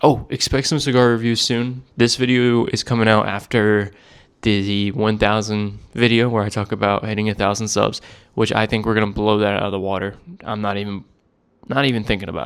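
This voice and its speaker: Mumbling in a fairly low pitch, a man is heard on a very clean recording with a silent background. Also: fairly even intonation, fairly quick pace. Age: 20s. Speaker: cigar vlogger. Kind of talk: casual vlog monologue. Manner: fast.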